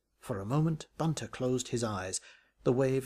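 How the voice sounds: The recording captures a natural reading voice.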